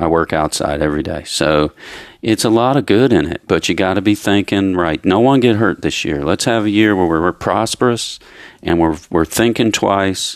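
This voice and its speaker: The sound is dry and close, without any echo. The recording is very clean over a silent background. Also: man. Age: 50s. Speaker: landscaping business owner and father of host. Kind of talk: casual chat.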